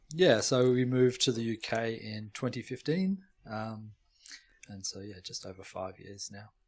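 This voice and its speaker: A medium-pitched man with an Australian accent at a moderate pace, with lively intonation and big swings in loudness. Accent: Australian, noticeable. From Australia, Melbourne. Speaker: molecular and computational biologist. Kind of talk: casual interview chat. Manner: halting, repeats words.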